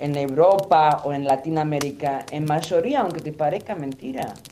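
A woman with a fairly low pitch talks at a fairly slow pace in an ordinary speaking voice. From Lebanon. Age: 50s. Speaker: guest sharing life story. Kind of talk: casual chat.

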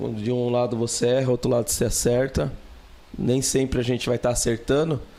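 A man talks while noticeable background noise plays underneath. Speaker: podcast guest, student and customer service professional. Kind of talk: casual chat.

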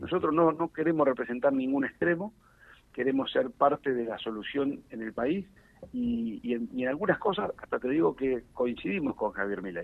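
A man's fairly high voice swings very widely in pitch while holding a moderate tempo. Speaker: politician, national deputy. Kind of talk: radio interview. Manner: frequent fillers and repetitions.

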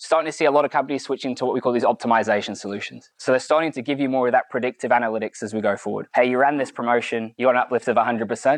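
A man with an American accent at a medium pitch, very fast delivery and ordinary pitch variation, in a dry, close sound with no echo. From UK. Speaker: analytics speaker at a consumer goods company. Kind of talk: conference presentation. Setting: meetup presentation with audience.

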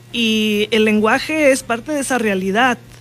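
A woman at a fairly high pitch and a fairly slow pace, with music in the background. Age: 60s. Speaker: politician. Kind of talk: interview. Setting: studio.

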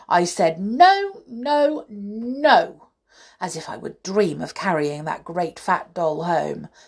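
A woman's put-on character voice, slow and fairly low-pitched, with lively intonation and a slightly husky edge

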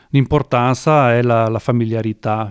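An ordinary speaking voice from a man at medium pitch with ordinary pitch variation, on a very clean recording with a silent background and a dry, close sound with no echo. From Veneto, northern Italy. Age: 60s. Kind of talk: interview.

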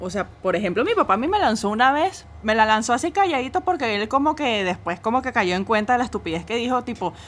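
An animated woman with a Venezuelan accent and very wide pitch swings. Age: 20s. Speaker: podcast co-host. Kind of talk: casual chat.

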